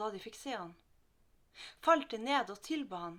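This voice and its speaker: The speaker talks at a fairly slow pace in a Northern Norwegian accent. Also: woman. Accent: Northern Norwegian dialect melody. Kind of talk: Bible reading.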